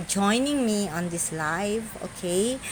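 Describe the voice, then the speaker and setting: In a Filipino accent, a woman speaks at a very slow pace with medium pitch and lively intonation. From Philippines. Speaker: social media content creator. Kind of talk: live stream monologue. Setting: live stream. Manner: halting non-fluent English.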